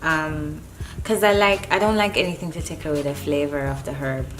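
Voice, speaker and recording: A woman's very deep, low voice with lively intonation and music in the background. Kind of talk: casual talk to camera.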